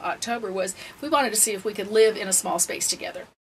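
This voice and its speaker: A woman at a very fast pace with lively intonation, noticeable background noise behind her. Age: 60s. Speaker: retired full-time RVer. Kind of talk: interview.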